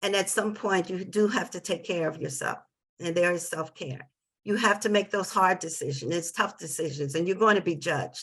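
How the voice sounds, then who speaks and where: Here is a woman with an ordinary speaking voice and an American accent. She talks at a moderate pace and medium pitch, with ordinary pitch variation. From New Jersey. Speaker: parent advocate. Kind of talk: webinar testimony.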